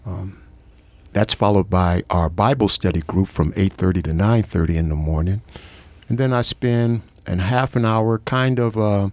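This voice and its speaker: An unremarkable speaking voice at a fairly slow pace, with a dry, close sound and no echo. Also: man. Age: 60s. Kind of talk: interview testimony.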